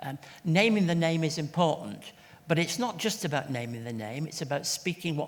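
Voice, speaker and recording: A man with an English accent talks at a moderate pace with lively intonation. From England. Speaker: church leader and charity CEO. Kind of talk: interview at book launch. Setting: event with audience.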